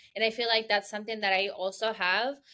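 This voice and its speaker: Speaking with a Spanish accent, the voice keeps a moderate pace. Its tone is bright and sharp. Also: woman. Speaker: beauty business founder. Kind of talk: casual interview chat.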